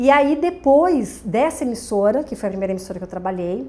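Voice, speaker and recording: At a moderate pace, a woman talks with a Santa Catarina accent. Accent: Santa Catarina Brazilian Portuguese. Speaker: television presenter. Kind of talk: podcast interview. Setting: studio.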